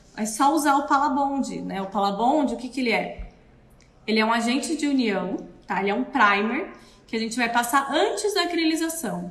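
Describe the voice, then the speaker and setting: Amid noticeable background noise and audible room echo, a woman speaks at a moderate pace in a high pitch with lively intonation. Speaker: dental prosthetics technician. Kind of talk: live stream tutorial. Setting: live video stream.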